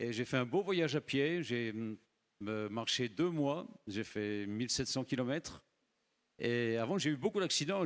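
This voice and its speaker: Recorded dry and close with no echo, a man with an ordinary speaking voice talks at a moderate pace with lively intonation. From France. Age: 60s. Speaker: missionary preacher. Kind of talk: sermon. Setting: church.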